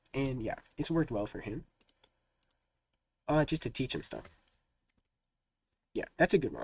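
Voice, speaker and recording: A man with a fairly high voice and vocal fry speaks with ordinary pitch variation. Long pauses come often. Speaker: programming streamer. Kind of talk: live coding stream, chatting with viewers. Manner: fast; casual, many fillers.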